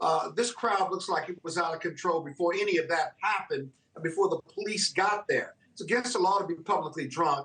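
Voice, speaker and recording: A man's high-pitched voice at a fairly quick pace, with ordinary pitch variation and hardly any pauses. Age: 60s. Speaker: attorney and political commentator. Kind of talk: TV news interview.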